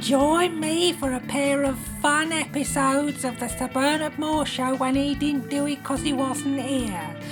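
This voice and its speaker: A man puts on a character voice at an extremely high pitch, moving at a moderate pace while loud music plays in the background. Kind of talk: comedy radio announcement. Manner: cheerful, prim.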